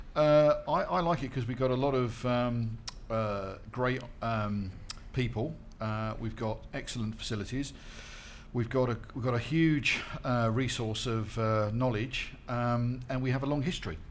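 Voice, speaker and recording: Audible room echo surrounds a man who talks at a fairly slow pace in a medium pitch, with ordinary pitch variation. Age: 50s. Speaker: skincare manufacturer. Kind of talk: panel discussion. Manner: hesitant, many fillers.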